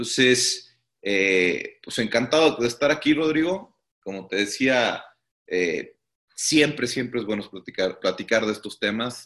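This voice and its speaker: At a fairly slow pace, a man talks with lively intonation at a medium pitch. He has an ordinary speaking voice. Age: 30s. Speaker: startup CEO. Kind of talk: interview.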